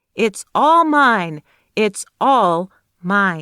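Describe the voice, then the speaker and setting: A woman performs a put-on character voice at a medium pitch. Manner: angry, ghostly.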